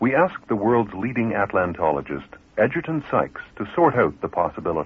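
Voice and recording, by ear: A man talks at a moderate pace with a slightly husky edge. His pitch makes big swings.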